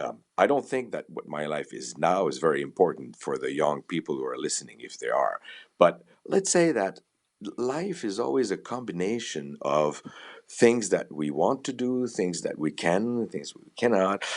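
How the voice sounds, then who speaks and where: Over a quiet background, a man with a Quebec accent talks at a moderate pace, his loudness swinging widely. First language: French. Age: 60s. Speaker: violinist, conductor and music professor. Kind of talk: interview conversation. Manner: halting, with false starts and repetitions.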